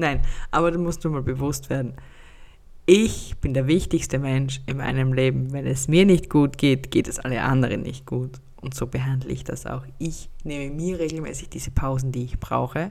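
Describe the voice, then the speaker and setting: With fairly even intonation, a woman talks at a very deep, low pitch. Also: moderate pace. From Austria. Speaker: podcast host and life coach. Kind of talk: solo podcast monologue. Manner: casual, chatty.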